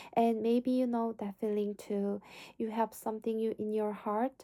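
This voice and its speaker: A woman's fairly high, dark, mellow voice with monotone, flat intonation, in a dry, close sound with no echo. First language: Korean. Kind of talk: motivational faith talk to camera.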